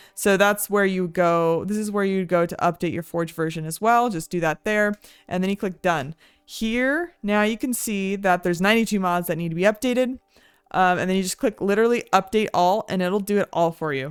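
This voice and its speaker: An ordinary speaking voice at a moderate pace with ordinary pitch variation, recorded very cleanly against a silent background. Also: woman. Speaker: vtuber gaming tutorial creator. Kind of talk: tutorial. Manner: casual, many filler words.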